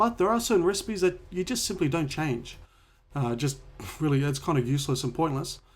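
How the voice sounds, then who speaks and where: A man with an Australian accent, fairly high pitch and lively intonation at a fairly quick pace. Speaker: home cook and cooking video creator. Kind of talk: Q&A vlog. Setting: home office. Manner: casual, with hesitations.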